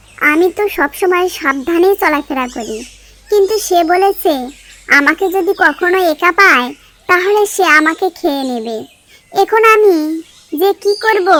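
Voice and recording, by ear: A woman does a cartoonish character voice pitched extremely high. She speaks at a fairly slow pace.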